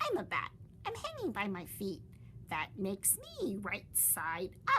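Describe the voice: In a put-on character voice, a woman speaks slowly at a medium pitch with a bright, sharp tone and very wide pitch swings.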